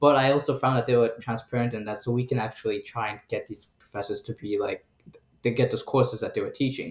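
A man with an American accent talks at a fairly quick pace in a somewhat breathy voice. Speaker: graduate student. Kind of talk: casual chat.

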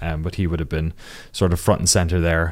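Very deep and low in pitch, a man talks with a southern Irish accent on a very clean recording with a silent background. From Ireland, Waterford (southeast). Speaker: documentary creator, games journalist. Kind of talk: interview.

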